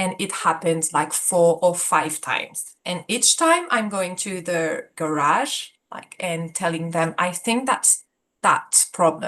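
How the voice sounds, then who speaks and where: The speech comes at a very slow pace with a French accent and a bright, sharp tone. Pitch variation is ordinary. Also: woman, fairly low pitch for a woman. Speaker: support group participant. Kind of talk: casual talk about a personal problem. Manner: hesitant, many fillers.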